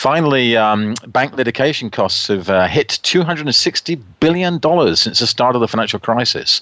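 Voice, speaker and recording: In a dry, close sound with no echo, a man speaks fairly quickly at medium pitch with lively intonation, a bright, sharp tone, very even loudness and hardly any pauses. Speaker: guest radio host. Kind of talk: radio talk show news roundup. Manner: casual with many fillers (uh, um).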